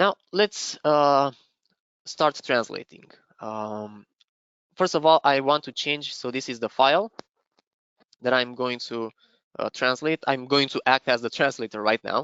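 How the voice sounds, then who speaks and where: A man with a Romanian accent talks fairly slowly, with long, frequent pauses. His pitch is medium, with ordinary variation. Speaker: software trainer presenting a webinar. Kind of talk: live software demo webinar. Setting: online webinar. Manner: halting, many fillers.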